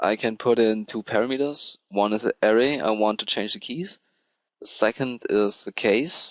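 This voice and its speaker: A man at medium pitch with a non-native accent, in a dry, close sound with no echo. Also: ordinary pitch variation, moderate pace. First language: not English. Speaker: programming tutorial creator. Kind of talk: tutorial. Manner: hesitant, with filler ums.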